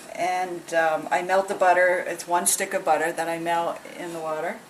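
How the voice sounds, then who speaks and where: With an American accent and monotone, flat intonation, a woman talks at a medium pitch and moderate pace amid noticeable background noise. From Connecticut. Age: 60s. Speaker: home cook. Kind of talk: cooking demonstration. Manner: casual.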